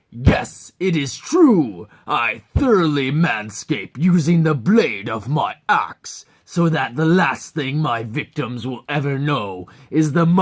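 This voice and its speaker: A put-on character voice, bellowing at a low-to-middle pitch, at a fairly slow pace with hardly any pauses. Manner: threatening, prideful, bellowing.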